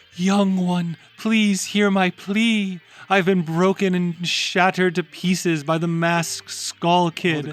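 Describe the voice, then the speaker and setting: A man puts on a character voice, pitched high and delivered with hardly any pauses. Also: fairly slow pace. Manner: difficult, theatrical acted voice.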